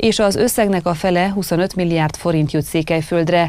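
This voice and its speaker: Her pitch fairly low, a woman speaks at a fairly slow pace with fairly even intonation, the sound dry with no echo. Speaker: news anchor. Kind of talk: news reading. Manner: formal. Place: studio.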